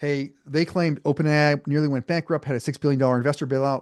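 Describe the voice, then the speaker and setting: A man's fairly high voice at a very fast pace, in a dry, close sound with no echo and a quiet background. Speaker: AI consultant presenting to bankruptcy lawyers. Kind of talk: webinar presentation with live demo. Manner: casual, filler-heavy.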